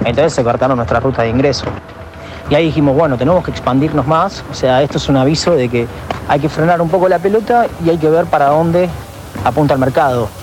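Delivered at a very fast pace with very even loudness, this voice has an Argentine accent and noticeable background noise. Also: man, fairly high pitch for a man, ordinary pitch variation. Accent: Rioplatense Argentine Spanish. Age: 20s. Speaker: DJ and electronic music producer. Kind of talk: interview. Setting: recorded voice message.

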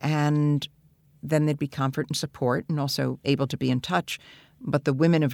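In an American accent with vocal fry, the speaker goes at a moderate pace with fairly even intonation, the sound dry and close with no echo on a very clean recording with a silent background. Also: woman. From New York. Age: 70s. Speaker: activist and organizer. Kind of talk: interview, reflective storytelling. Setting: in-person interview.

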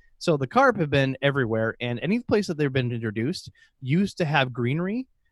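A fairly high-pitched man with an Upper Midwest accent and lively intonation. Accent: Upper Midwest (Minnesota). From central northern Minnesota. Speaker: aquarium podcast host. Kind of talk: casual interview chat.

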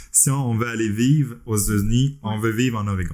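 A man's fairly low voice in a Quebec accent at a moderate pace, on a very clean recording with a silent background. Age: 40s. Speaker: podcast host, web developer. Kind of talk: casual chat.

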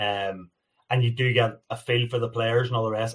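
In a very clean recording with a silent background, a man speaks at a medium pitch with an American accent. His voice is somewhat breathy and his intonation monotone and flat. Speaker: ice hockey commentator and former podcast panelist. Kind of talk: casual chat.

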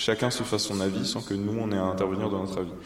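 Noticeable background noise and audible room echo surround a man speaking at a fairly quick pace with a fairly low pitch. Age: 20s. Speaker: journalist and business co-founder. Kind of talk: casual interview. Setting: kitchen showroom.

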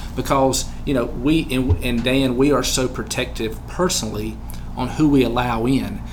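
Noticeable background noise fills the clip. A man speaks through it. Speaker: podcast host and small business owner. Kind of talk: interview conversation. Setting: studio.

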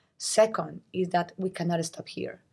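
Somewhat breathy and dark, mellow in tone, a woman with a Latin American accent speaks at a moderate pace and a fairly low pitch. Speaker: network CEO. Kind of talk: panel discussion. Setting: live at a conference.

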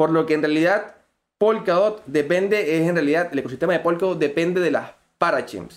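Music plays behind a man speaking at a fairly quick pace. His pitch is high for a man, and his loudness stays very even. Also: ordinary pitch variation. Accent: Venezuelan. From Venezuela. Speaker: crypto community manager. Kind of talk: podcast interview.

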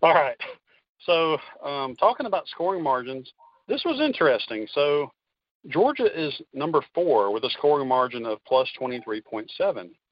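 The man speaks at a fairly slow pace in an unremarkable speaking voice. His pitch is fairly high and his intonation lively. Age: 30s. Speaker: college football fan and game picker. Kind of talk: casual sports chat.

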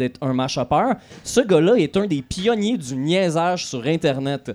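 This man has a normal speaking voice, fairly high in pitch, with lively intonation. He talks at a moderate pace. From Quebec, Lanaudière. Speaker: podcast host. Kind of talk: live podcast recording. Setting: stage with audience at festival.

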